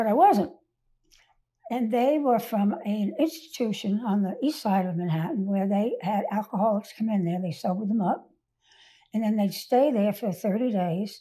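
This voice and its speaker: She has an American accent and a dark, mellow tone that is somewhat breathy. The woman keeps a moderate pace. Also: fairly high pitch for a woman, ordinary pitch variation. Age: 80s+. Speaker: recovered alcoholic sharing life story. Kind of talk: interview testimony.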